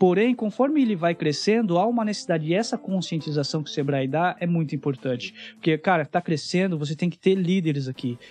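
Music plays behind a man who talks very fast in a high voice with lively intonation and hardly any pauses. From interior of São Paulo state, Brazil. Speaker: startup mentor and investor. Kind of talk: podcast interview.

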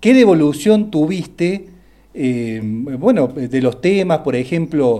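Speaking at a very slow pace, a man with a fairly high pitch and a dark, mellow tone uses lively intonation. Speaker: music columnist. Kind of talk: radio interview.

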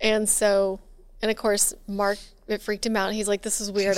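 A woman with an American accent speaks at a medium pitch and a fairly quick pace, her intonation monotone and flat. The recording is very clean, with a silent background. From Texas. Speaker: podcast co-host. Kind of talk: casual interview.

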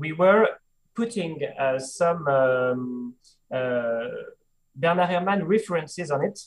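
A man talks with a French accent and lively intonation. His pace is very slow. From France. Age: 30s. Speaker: film director. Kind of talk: interview. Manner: halting.

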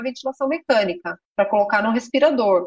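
This voice belongs to a woman. Its pitch rises and falls in an ordinary way. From Brazil, São Paulo state (São Roque). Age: 40s. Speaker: emergency physician. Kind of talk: interview. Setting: video call.

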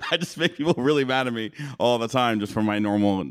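A man's lively, fairly quick speech on a very clean recording with a silent background. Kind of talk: casual chat. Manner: abrasive conversational tone.

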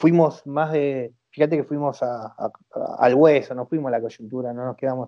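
A man speaks at a fairly high pitch and a moderate pace. His tone is dark and mellow, with ordinary pitch variation. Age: 40s. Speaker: economist. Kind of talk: interview.

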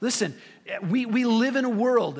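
Audible room echo colors this recording. The male speaker has an American accent. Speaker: pastor. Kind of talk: sermon. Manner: conversational.

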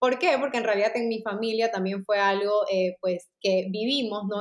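An unremarkable speaking voice, fairly even in intonation, at a moderate pace. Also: woman. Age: 30s. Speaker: clinical psychologist. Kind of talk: interview.

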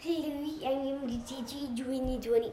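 In a put-on character voice, a female-sounding speaker talks fairly slowly at a high pitch, with a slight echo. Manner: exaggerated, overbearing, stern.

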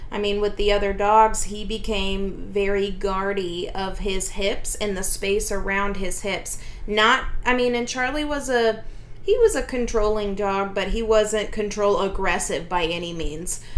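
A woman with an unremarkable speaking voice talks at a medium pitch and a fairly slow pace, her intonation fairly even. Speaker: dog trainer and podcast host. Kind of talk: casual podcast chat.

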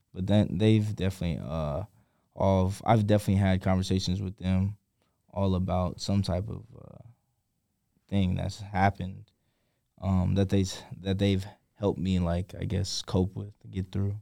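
On a very clean recording with a silent background, a man with a very deep, low pitch and a dark, mellow tone speaks in a monotone, flat way at a moderate pace, with long, frequent pauses. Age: 20s. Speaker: college football player. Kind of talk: interview conversation. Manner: reserved, hesitant.

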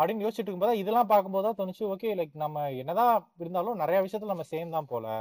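The pitch variation is ordinary. The recording is very clean, with a silent background. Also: man, high pitch for a man. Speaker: podcast host. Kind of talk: casual chat.

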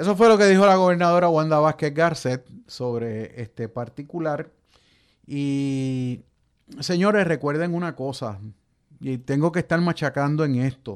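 A man speaks at a fairly slow pace in a normal speaking voice, with lively intonation. The recording is very clean, with a silent background. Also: fairly high pitch for a man. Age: 50s. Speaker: radio host and journalist. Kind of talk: radio talk show commentary.

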